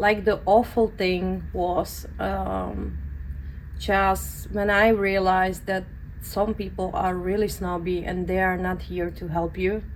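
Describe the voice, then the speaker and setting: A woman speaks with a Central European accent. Her pace is very slow. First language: non-English (European). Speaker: permanent makeup artist and educator. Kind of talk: interview.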